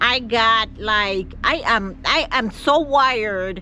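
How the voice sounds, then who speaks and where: A woman speaks in a fairly high pitch with lively intonation. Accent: Caribbean. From Jamaica. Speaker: vlogger. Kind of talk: vlog to camera.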